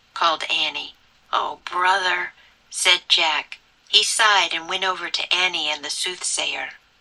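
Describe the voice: The speaker uses plain reading aloud.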